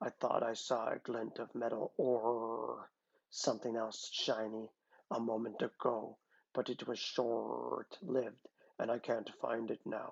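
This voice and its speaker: A man does a put-on character voice that is gruff and growling. He keeps a medium pitch and a fairly slow pace. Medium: read story. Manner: gruff, terse.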